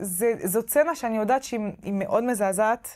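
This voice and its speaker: The speaker has a French accent and ordinary pitch variation. The background is quiet. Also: woman. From France. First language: French (speaking Hebrew). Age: 30s. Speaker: novelist; interviewee. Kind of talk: interview; interview answer. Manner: halting. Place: hall. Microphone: lapel.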